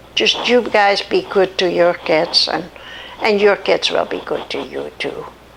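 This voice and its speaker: A woman talks at a fairly slow pace. Noticeable background noise runs throughout. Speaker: grandmother telling life stories. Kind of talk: interview. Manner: halting.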